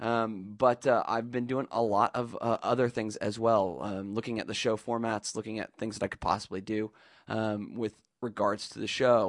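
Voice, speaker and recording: At a moderate pace, a man speaks in a fairly low pitch with monotone, flat intonation, recorded with a dry, close sound and no echo. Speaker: podcast host. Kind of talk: solo monologue. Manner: hesitant, many fillers.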